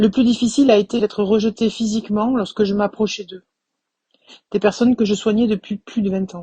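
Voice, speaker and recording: Somewhat breathy and dark, mellow in tone, a woman with a fairly high pitch talks at a fairly quick pace in a monotone, flat intonation, with big swings in loudness in a dry, close sound with no echo. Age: 50s. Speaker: suspended physiotherapist. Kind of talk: testimony.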